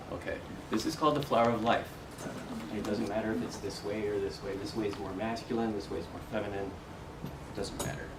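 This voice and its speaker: A soft-spoken man talks at a medium pitch with ordinary pitch variation. Audible room echo and noticeable background noise surround him. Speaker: meditation and spiritual workshop teacher. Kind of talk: talk to a live group. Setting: meeting room with audience.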